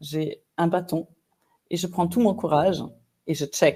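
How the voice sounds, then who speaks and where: A woman with a German accent, fairly low in pitch, dark and mellow in tone, at a fairly slow pace. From Germany. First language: German (speaking French). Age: 50s. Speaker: executive coach. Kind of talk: interview conversation.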